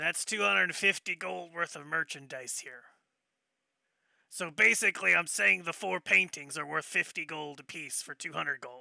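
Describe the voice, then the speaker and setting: A man speaks in a put-on character voice, raspy and fairly high-pitched, with lively intonation, big swings in loudness and a moderate pace, on a very clean recording with a silent background and a dry, close sound with no echo. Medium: actual play. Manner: plainspoken, haggling.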